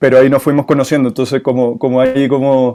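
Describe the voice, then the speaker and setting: A man's fairly high voice, fairly quick in pace and fairly even in intonation. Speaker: moderator. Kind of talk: interview.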